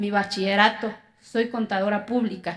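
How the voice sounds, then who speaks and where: A woman speaks in an Oaxacan accent. Her pace is fairly slow. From Mexico, Oaxaca (Zapotec community). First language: Zapotec (speaking Spanish). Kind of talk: inspirational talk.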